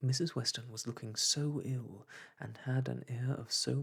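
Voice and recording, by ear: What we hear is reading aloud in a natural voice.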